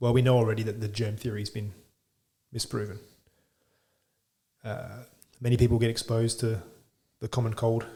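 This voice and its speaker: In an Australian accent, this voice has a dark, mellow tone, is somewhat breathy, and moves at a fairly quick pace with fairly even intonation. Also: man. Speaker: chiropractor. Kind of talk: podcast interview.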